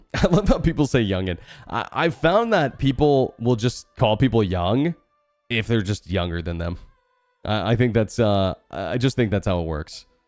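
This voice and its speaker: Music plays behind a man with a medium pitch and an animated tone. He talks at a moderate pace with lively intonation. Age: 30s. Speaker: video game streamer. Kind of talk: live gameplay stream chat. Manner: casual, animated.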